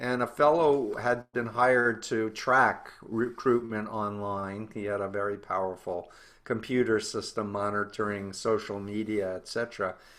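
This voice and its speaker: A man with an unremarkable speaking voice talks at a moderate pace with hardly any pauses, his pitch fairly low and his intonation fairly even. The background is quiet. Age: 60s. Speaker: cult researcher and author. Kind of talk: interview.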